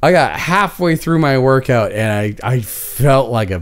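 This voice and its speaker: A man talks fairly slowly, his pitch swinging very widely. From Canada. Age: 40s. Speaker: podcast host. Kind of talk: casual chat. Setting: live stream. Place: home room. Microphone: studio mic.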